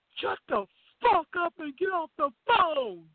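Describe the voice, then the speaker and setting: A put-on character voice is pitched high. It moves at a fairly slow pace. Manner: commanding, shouting.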